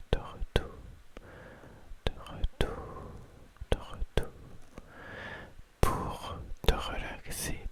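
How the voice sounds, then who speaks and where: A man whispers at a very slow pace, with long, frequent pauses. Noticeable background noise is present. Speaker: ASMR creator. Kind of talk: ASMR confiding talk. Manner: whispered.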